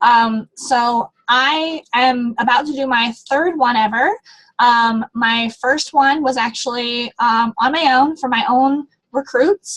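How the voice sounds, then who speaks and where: A high-pitched woman's voice with ordinary pitch variation and a dry, close sound with no echo. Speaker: direct sales team leader. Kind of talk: motivational team call. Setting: online group call. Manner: fast; animated.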